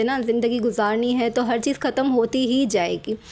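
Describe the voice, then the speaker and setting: A woman speaks in a high pitch at a fairly quick pace, her intonation monotone and flat. Noticeable background noise sits behind her. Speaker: vlogger, housewife and mother. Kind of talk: vlog voice-over. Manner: casual, conversational.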